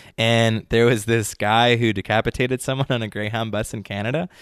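In a normal speaking voice, a man with an American accent talks at a fairly quick pace, with medium pitch and fairly even intonation. The sound is dry and close with no echo, on a very clean recording with a silent background. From New York City (Brooklyn), later outside Philadelphia. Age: 30s. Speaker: sommelier and world traveler. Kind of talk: interview.

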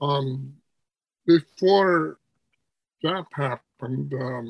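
A man's fairly high-pitched voice, dry and close with no echo. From Alaska (Inupiaq, Seward Peninsula). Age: 80s. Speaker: elder artist. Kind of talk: interview. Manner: halting, many fillers.

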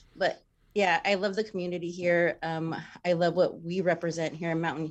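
Against a quiet background, a woman with an American accent speaks at a moderate pace in an ordinary speaking voice, her pitch fairly low. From Texas. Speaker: clinic business manager. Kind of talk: radio interview. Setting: video call.

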